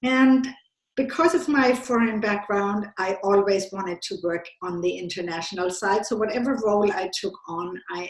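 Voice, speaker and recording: The speaker has a slight German accent. The pace is moderate. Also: woman. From Germany. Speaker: business consultant. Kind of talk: podcast interview. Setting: call.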